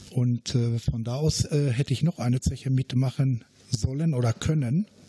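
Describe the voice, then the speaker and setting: A man's dark, mellow, somewhat breathy voice at medium pitch, very slow and fairly even in intonation, with a dry, close sound and no echo. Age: 60s. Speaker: retired miner and blaster. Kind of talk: interview.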